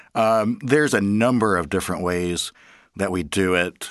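A man's very deep, low voice with ordinary pitch variation, set against a quiet background. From Arkansas. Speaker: business development manager. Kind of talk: interview. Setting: studio.

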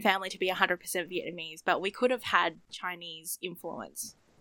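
The tone is bright and sharp. It comes from a woman with an Australian accent. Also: dry, close sound with no echo. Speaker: podcast co-host. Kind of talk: casual chat. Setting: video call.

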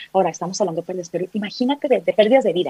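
Lively intonation rides on a dark, mellow tone, and the sound is dry and close with no echo. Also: woman. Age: 40s. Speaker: psychologist. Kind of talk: interview.

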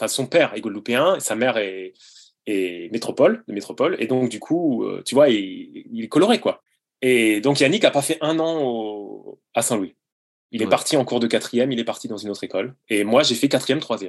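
In an ordinary speaking voice, the speaker moves at a moderate pace with lively intonation. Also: man, medium pitch for a man. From France, Sarthe (near Le Mans). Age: 40s. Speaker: childhood friend of the subject. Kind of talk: casual interview. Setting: video call.

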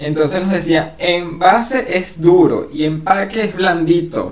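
With an animated tone, a man in a Venezuelan accent speaks at a high pitch amid audible room echo and noticeable background noise. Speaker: podcast co-host. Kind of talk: casual chat.

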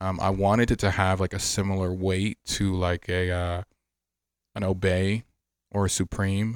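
A man with an American accent speaks in a very deep, low pitch and a monotone, flat intonation. The sound is dry and close with no echo, and his loudness stays very even. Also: moderate pace, very clean recording, silent background. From Miami, Florida, Haitian family. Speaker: fashion brand founder and designer. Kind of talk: casual interview chat.

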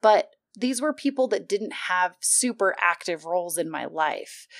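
A woman's medium-pitched, lively voice at a fairly quick pace, in a very clean recording with a silent background. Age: 20s. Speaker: podcast host. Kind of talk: casual monologue. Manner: animated.

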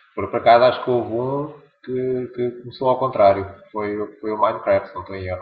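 With fairly even intonation, this is an unremarkable speaking voice that shows big swings in loudness. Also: man, medium pitch for a man, moderate pace. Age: 40s. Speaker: LEGO collector and blogger. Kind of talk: casual chat.

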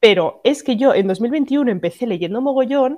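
A woman's high-pitched, animated voice at a moderate pace, with very wide pitch swings. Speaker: podcast co-host. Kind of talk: casual chat.

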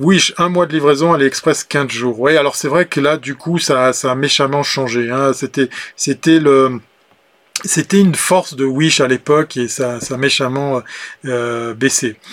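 Fairly even intonation marks this man's fairly high-pitched voice. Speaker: livestream show host. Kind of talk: casual live chat with viewers. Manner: chatty, frequent hesitations.

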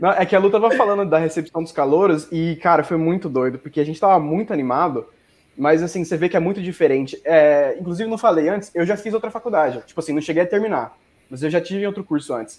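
This man's high voice races along very fast, its pitch varying in an ordinary way. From Mato Grosso, Brazil. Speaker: business student. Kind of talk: casual chat.

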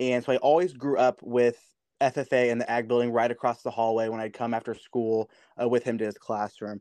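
A man talks at a fairly quick pace in an ordinary speaking voice, his pitch medium and his intonation fairly even. The sound is dry and close with no echo, over a quiet background. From US Midwest. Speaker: youth organization officer. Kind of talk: interview.

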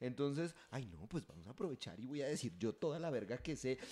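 A man at a moderate pace, with a dark, mellow tone. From Catatumbo region, Colombia (Convención, near Cesar). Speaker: podcast host. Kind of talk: casual chat.

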